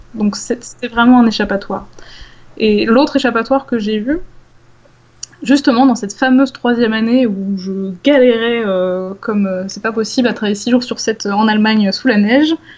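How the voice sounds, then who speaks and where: Fairly high in pitch, a woman's unremarkable speaking voice shows ordinary pitch variation. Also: moderate pace. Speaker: science communicator, former PhD researcher. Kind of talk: casual interview conversation.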